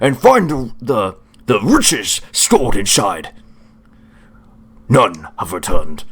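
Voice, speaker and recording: A man speaks in a put-on character voice. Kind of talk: comic overacting. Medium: actual play. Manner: hearty, old-fashioned courtly speech.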